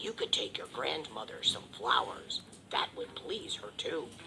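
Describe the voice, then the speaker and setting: A put-on character voice at a moderate pace, over clear background noise. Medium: read story. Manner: sly, wheedling.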